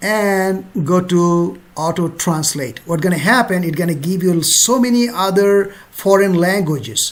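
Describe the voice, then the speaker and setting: A fairly slow delivery with a Bengali accent. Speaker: travel vlogger. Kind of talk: tutorial. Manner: casual, conversational.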